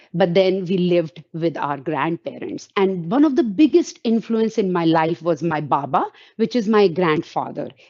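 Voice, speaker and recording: A woman with an Indian accent talks with lively intonation and hardly any pauses. The background is quiet. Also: moderate pace. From India, Roorkee, Uttarakhand. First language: Hindi. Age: 50s. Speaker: invited speaker, woman in STEM. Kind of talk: talk with slides in online panel. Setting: virtual event.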